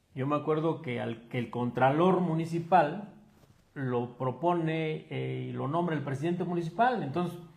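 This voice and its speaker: A man with an ordinary speaking voice talks at a fairly slow pace, his pitch fairly high with ordinary variation. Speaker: magazine interviewer. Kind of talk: interview.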